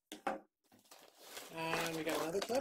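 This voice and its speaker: There is noticeable background noise behind this woman. Her pitch sits fairly low. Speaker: YouTuber doing product unboxings. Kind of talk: unboxing video. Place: home room. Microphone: phone near.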